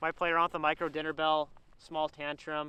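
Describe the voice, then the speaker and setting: Loud and bright with a sharp tone, a man speaks at a high pitch and a fairly quick pace. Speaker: fishing vlogger. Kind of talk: casual vlog commentary. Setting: outdoors on ice.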